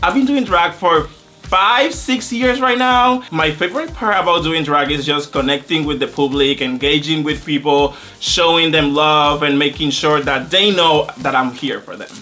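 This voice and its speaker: Over noticeable background noise, a man with a Spanish accent speaks in an animated tone at a moderate pace, his fairly high pitch carried by lively intonation. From Puerto Rico. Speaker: drag queen competitor. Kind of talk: interview confessional.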